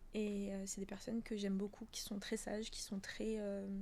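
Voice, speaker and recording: A woman speaks at a medium pitch with a dark, mellow tone. Her intonation is monotone and flat. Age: 20s. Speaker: professional dancer and yoga teacher. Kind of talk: casual interview. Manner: loud; laughs a lot.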